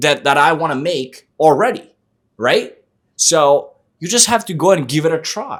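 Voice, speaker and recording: A man speaks at a fairly high pitch with an Eastern European accent. His tone is animated and his pace moderate. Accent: good Eastern European accent in English. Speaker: sales coach and podcast host. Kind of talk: casual chat.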